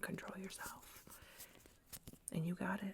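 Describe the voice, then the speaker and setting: A soft-spoken voice with a calm tone comes through over noticeable background noise. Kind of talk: ASMR roleplay, soft-spoken comforting talk to camera. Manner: soft-spoken, calm, reassuring.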